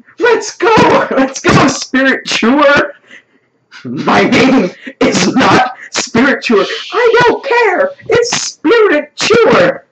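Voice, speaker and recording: A shouted, high-pitched put-on character voice, very slow, with very wide pitch swings. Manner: screaming battle cry.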